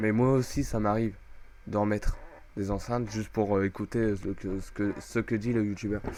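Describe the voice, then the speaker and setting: Monotone and flat, a man's voice stays at a fairly low pitch. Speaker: gaming youtuber. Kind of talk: screen-recorded tutorial. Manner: loud; hesitant, filler-heavy.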